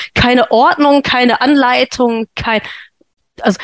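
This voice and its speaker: Lively intonation comes through at a fairly slow pace, with a dry, close sound and no echo. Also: woman. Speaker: sleep consultant and podcast host. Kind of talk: interview conversation. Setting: podcast recording.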